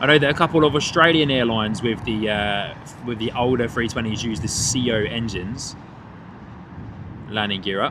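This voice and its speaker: A man speaks at medium pitch and a moderate pace, with ordinary pitch variation. Long, frequent pauses break up his speech, and there is noticeable background noise and audible room echo. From England, Hertfordshire. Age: 30s. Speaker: plane spotting livestream host. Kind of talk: live commentary. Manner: animated.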